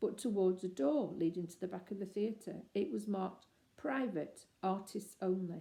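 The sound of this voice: The speaker uses an unforced reading voice. The pitch shows ordinary variation.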